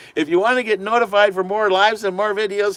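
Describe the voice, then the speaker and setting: There is noticeable background noise as a man with a high pitch speaks. His pace is fairly quick and his intonation fairly even. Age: 50s. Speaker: van life vlogger. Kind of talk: live stream chat. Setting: live stream. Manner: casual, hesitant.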